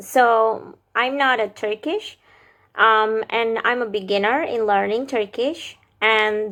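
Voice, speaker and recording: Her tone bright and sharp, a woman with an Indonesian accent and fairly high pitch talks at a fairly slow pace with ordinary pitch variation. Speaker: vlogger, language learner. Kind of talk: casual vlog explainer. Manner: hesitant, with fillers.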